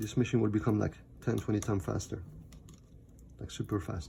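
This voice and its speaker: A man speaks with a non-native accent. His tone is dark and mellow, with vocal fry. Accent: foreign. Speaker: MacBook repair technician. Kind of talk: tutorial. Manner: halting, many fillers.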